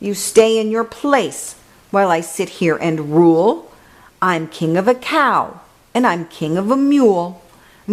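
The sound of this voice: Here is an unforced reading voice. The intonation is lively.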